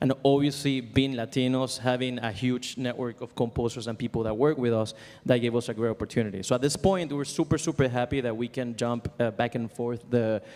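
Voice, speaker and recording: With a strong Venezuelan accent, a man talks at a fairly quick pace with hardly any pauses, his medium-pitched voice fairly even in intonation. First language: Spanish. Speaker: composer and music library owner. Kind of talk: conference panel talk. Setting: stage with audience. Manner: halting, many fillers.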